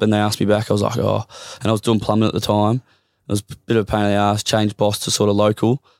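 With an Australian accent, a man speaks very fast in a very clean recording with a silent background and a dry, close sound with no echo. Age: 30s. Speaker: professional football player. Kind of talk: casual chat.

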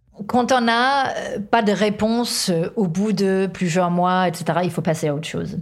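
A woman speaks at a medium pitch and a fairly slow pace. Room echo is audible. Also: ordinary pitch variation. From Denmark. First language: Danish (speaking French). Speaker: author, workplace wellbeing specialist. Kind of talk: interview.

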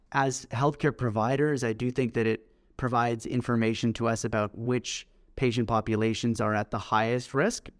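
Speaking at a moderate pace with a Canadian accent, a man has a plain, everyday voice, medium pitch, fairly even intonation and very even loudness. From Canada, Toronto. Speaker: pediatric researcher. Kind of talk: interview.

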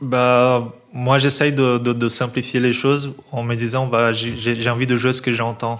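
Speaking very slowly yet hardly pausing, a man with a Portuguese accent keeps a flat, monotone delivery at a medium pitch over noticeable background noise. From Brazil, São Paulo. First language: Portuguese (speaking French). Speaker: jazz double bassist. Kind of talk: casual interview. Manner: hesitant, many fillers and repetitions.

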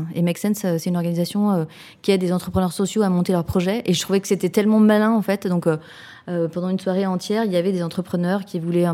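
In a dark, mellow tone, a woman talks at a very fast pace with monotone, flat intonation. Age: 40s. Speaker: social entrepreneur. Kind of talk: interview. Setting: office. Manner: halting, with frequent fillers.

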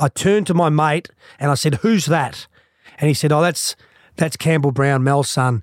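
Spoken at a moderate pace with ordinary pitch variation and very even loudness, the Australian accent comes through in a dry, close sound with no echo. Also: man, fairly high pitch for a man. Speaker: former footballer. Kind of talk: casual chat.

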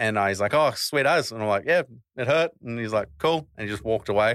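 In an Australian accent, a man speaks at a medium pitch. The recording is very clean with a silent background and a dry, close sound with no echo. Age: 20s. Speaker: wheelchair athlete and rapper. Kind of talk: casual interview chat.

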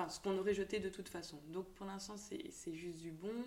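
A woman speaks at a medium pitch with fairly even intonation. It is an ordinary speaking voice. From Belgium, Tournai. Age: 20s. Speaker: shop owner. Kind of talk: interview.

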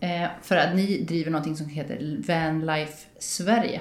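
A woman at a moderate pace, with audible echo from the room. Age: 40s. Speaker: podcast host. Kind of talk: casual interview chat. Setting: small apartment home studio.

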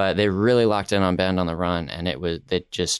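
At a moderate pace, a man with an American accent uses an ordinary speaking voice, a fairly low pitch and fairly even intonation. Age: 20s. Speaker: podcast correspondent. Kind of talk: casual chat. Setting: remote call.

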